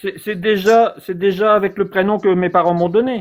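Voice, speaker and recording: A man's high-pitched voice at a fairly slow pace, with fairly even intonation. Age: 50s. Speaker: caller. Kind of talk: testimony. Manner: halting.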